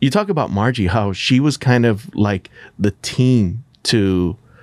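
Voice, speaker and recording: At a fairly slow pace, a man with a plain, everyday voice and ordinary pitch variation is heard in a very clean recording with a silent background and a dry, close sound with no echo. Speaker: podcast host and radio DJ. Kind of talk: casual chat.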